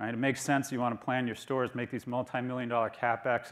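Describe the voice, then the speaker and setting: Speaking very fast, a man keeps a medium pitch and a monotone, flat intonation. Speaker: business professor and conference speaker. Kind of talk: conference keynote presentation.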